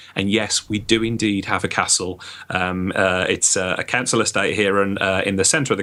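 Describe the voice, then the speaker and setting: A man talks at a moderate pace in a fairly low, bright, sharp voice. His intonation stays fairly even. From Birmingham, West Midlands, England. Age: 30s. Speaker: IT business consultant. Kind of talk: podcast interview. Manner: many fillers and hesitations.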